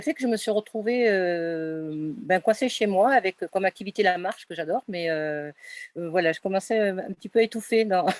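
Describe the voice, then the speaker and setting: A woman talks at a medium pitch and a moderate pace with lively intonation. The recording is very clean with a silent background, and the sound is dry and close with no echo. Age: 60s. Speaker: psychotherapist. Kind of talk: interview testimony. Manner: halting, many hesitations.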